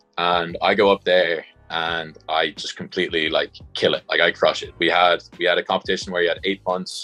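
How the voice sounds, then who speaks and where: Music plays behind a man speaking with a Dublin accent at a fairly quick pace. The sound is dry and close, with no echo. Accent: Irish (Dublin). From Dublin, Ireland. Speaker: college football punter. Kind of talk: interview answer. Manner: casual, conversational.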